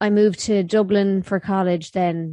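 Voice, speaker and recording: A woman's medium-pitched voice, dark and mellow in tone, with fairly even intonation over a quiet background. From Ireland, County Mayo. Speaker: YouTuber. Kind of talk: casual chat.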